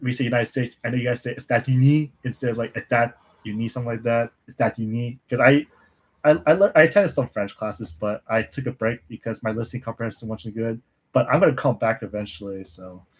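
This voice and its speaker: A somewhat breathy man's voice at medium pitch, very fast pace and ordinary pitch variation, in a dry, close sound with no echo. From English-speaking country, Mandarin-speaking family. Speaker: language learning streamer. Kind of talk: casual livestream Q&A chat. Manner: casual, halting with restarts.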